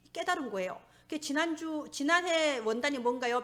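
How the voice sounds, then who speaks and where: A woman speaks at a fairly quick pace. Her voice is high-pitched. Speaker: pastor. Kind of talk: sermon. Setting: church.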